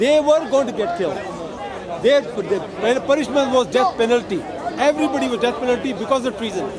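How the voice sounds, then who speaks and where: With crowd noise behind him, a man talks at a fairly quick pace in an extremely high pitch, his intonation lively. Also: dry sound with no echo. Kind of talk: heated debate. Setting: outdoors. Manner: insistent. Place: open country.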